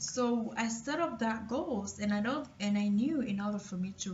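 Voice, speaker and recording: With noticeable background noise behind her, a woman speaks at a moderate pace in a fairly high voice with ordinary pitch variation. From Cameroon. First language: French. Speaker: motivational vlogger. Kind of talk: personal testimony. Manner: hesitant, with fillers and repetitions.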